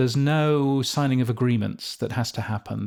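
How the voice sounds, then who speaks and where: A man's British accent with monotone, flat intonation. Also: very clean recording, silent background. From England. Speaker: podcast industry editor. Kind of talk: interview. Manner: hesitant, many fillers.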